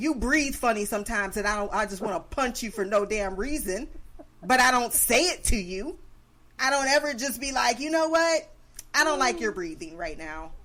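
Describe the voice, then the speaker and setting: A loud woman's voice, fairly high in pitch, with a bright, sharp tone, very wide pitch swings and a moderate pace. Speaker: podcast host. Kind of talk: casual chat. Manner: animated.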